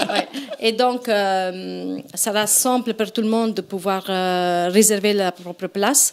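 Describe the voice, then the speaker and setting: A woman with an Italian accent, medium in pitch, at a very slow pace, with fairly even intonation and noticeable background noise. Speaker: event organizer. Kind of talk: casual chat. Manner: hesitant.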